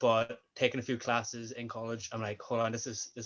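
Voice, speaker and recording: With a Northern Irish accent, a man talks at a medium pitch. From Northern Ireland. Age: 20s. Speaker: sports coach and student. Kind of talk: interview.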